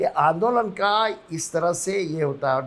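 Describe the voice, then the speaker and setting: A bright, sharp tone comes with ordinary pitch variation. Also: man. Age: 80s+. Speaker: politician. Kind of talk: interview. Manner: halting.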